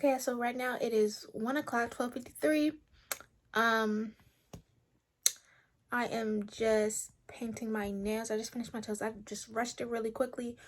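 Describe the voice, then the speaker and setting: Intonation stays fairly even. Long, frequent pauses break up the speech. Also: woman, fairly high pitch for a woman. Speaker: vlogger. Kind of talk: casual vlog. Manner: fast.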